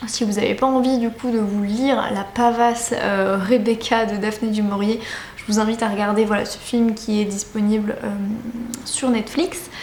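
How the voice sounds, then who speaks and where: Over noticeable background noise and audible room echo, a woman talks at a fairly slow pace with fairly even intonation and a fairly high pitch. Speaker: book vlogger. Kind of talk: casual vlog talk to camera. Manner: hesitant with many fillers.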